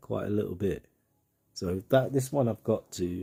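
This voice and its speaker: A man with a British accent speaks in a dark, mellow tone that is somewhat breathy, with ordinary pitch variation. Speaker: gaming commentator. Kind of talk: gameplay walkthrough commentary. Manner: casual, rambling with repetitions.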